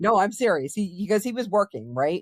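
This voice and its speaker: A woman with an American accent is recorded with a dry, close sound and no echo. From Massachusetts, Marblehead. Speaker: podcast guest, family member. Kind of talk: casual chat. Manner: loud.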